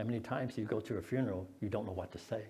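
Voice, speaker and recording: With audible room echo, a man talks at a moderate pace in a fairly low, dark, mellow, somewhat breathy voice and fairly even intonation. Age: 70s. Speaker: lay preacher. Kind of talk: sermon. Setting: church.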